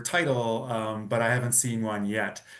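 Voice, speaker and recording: With audible room echo, a man with a Canadian accent speaks at a moderate pace. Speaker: data strategist. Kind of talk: presentation.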